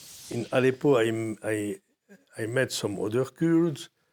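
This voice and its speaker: A man with a French accent at a fairly slow pace, with ordinary pitch variation. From Morocco. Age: 80s+. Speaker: war photojournalist. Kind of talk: interview testimony. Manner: halting.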